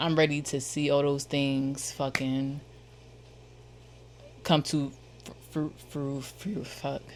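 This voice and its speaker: Speaking in a Philadelphia accent, a woman with a very deep, low pitch talks at a fairly slow pace in a monotone, flat intonation. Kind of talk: casual slang. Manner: casual, profane, repetitive.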